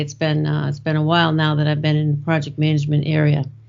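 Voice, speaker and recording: In a strong Boston accent, a woman talks with a very deep, low pitch. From Boston, Massachusetts. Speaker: IT project manager and author. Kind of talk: podcast interview.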